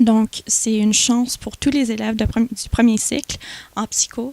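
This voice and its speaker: A woman with an English accent speaks in a fairly high pitch, her tone dark and mellow. Her intonation is monotone and flat, and the sound is dry and close with no echo. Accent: English-speaker accent in French. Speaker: student association president. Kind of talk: TV interview. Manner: halting, many repetitions.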